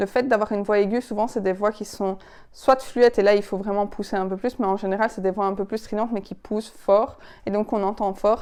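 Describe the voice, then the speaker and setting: A woman speaks at medium pitch in a monotone, flat delivery. The recording is very clean, with a silent background. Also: fairly quick pace. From Belgian Ardennes. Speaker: public speaking coach. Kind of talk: tutorial. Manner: expressive, varied intonation.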